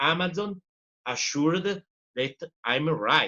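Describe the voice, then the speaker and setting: A man's fairly high, bright, sharp voice in an Italian accent, with lively intonation, a fairly slow pace and a dry, close sound with no echo. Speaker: professor and journalist. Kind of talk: interview. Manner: halting.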